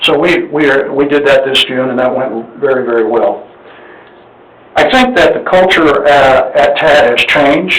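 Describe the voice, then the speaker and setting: A man with a fairly high pitch speaks at a moderate pace. The room echo is audible and background noise is noticeable. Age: 70s. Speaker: appraisal district board member seeking nomination. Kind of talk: public meeting presentation. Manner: halting, frequent fillers.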